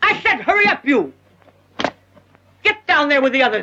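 Shouting in a put-on character voice, a woman uses a high pitch with very wide pitch swings, a moderate pace and very even loudness. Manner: harsh, commanding shouting.

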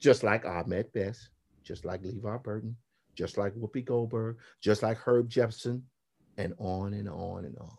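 With a somewhat breathy voice and ordinary pitch variation, a man talks at a moderate pace, his loudness swinging widely. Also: fairly low pitch for a man. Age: 50s. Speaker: graphic novelist and illustrator. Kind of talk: interview.

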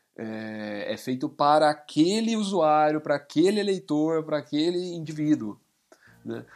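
A man with an ordinary speaking voice, pitched fairly high, with lively intonation. He talks at a fairly slow pace on a very clean recording with a silent background. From São Paulo state, Brazil (Indaiatuba). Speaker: advertising professional and writer. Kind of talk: casual chat.

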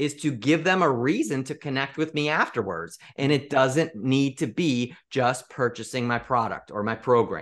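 Over a quiet background, a man with an American accent speaks at a moderate pace and medium pitch in a bright, sharp tone, with ordinary pitch variation. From US Midwest, Chicago area. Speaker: sales mentor and speaker. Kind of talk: podcast interview.

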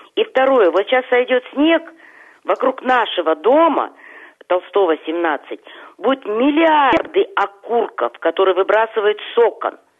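Very slow speech with long, frequent pauses keeps a very even loudness while the pitch swings very widely. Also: woman, fairly high pitch for a woman. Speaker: caller. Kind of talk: casual chat. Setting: phone call.

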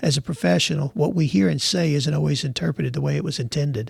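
Very fast, somewhat breathy delivery with very wide pitch swings and a dry, close sound without echo. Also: man. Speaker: financial advisor. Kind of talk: interview.

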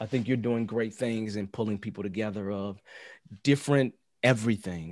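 A man's fairly low voice, with ordinary pitch variation, comes at a moderate pace over a quiet background. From Chicago South Side. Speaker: agile coach and scrum trainer. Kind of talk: interview conversation.

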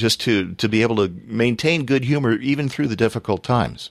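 A medium-pitched man with a normal speaking voice, at a fairly quick pace, on a very clean recording with a silent background. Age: 50s. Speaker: podcast host. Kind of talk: casual interview and show hosting. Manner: upbeat, laughing.

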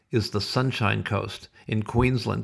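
A man speaks at a medium pitch with an animated tone and vocal fry. The recording is very clean, with a silent background. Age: 60s. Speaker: podcast host. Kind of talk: casual solo podcast monologue. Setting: home office. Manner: jokey.

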